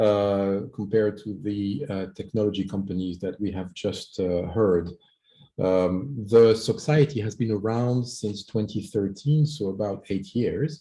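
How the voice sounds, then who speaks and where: Speaking with a French accent, a man keeps a fairly slow pace. His fairly low voice has ordinary pitch variation. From France. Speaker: startup executive pitching. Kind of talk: startup pitch. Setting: video call.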